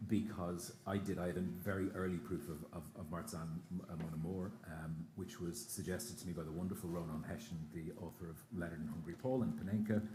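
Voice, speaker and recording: With an Irish accent, a man speaks at a very deep, low pitch in a somewhat breathy voice with a dark, mellow tone, with audible room echo around him. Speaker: radio broadcaster, interviewer. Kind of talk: live on-stage interview. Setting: stage with audience at outdoor festival. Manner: fast.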